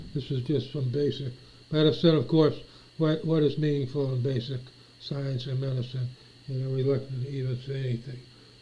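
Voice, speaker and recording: In a dark, mellow tone and an American accent, a man speaks fairly quickly at medium pitch, somewhat breathy and flat in a monotone. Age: 60s. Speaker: vlogger. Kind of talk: casual monologue. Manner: halting.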